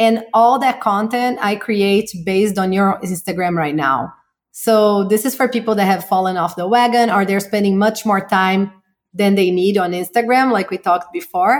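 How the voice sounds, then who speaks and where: A woman with a Portuguese accent, medium pitch and ordinary pitch variation at a moderate pace, on a very clean recording with a silent background. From Brazil. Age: 40s. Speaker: marketing entrepreneur. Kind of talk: interview.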